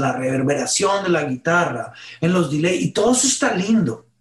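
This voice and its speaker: A man's high voice at a moderate pace with lively intonation. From Colombia, northern Caribbean coast. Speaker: worship musician and pastor. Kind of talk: interview.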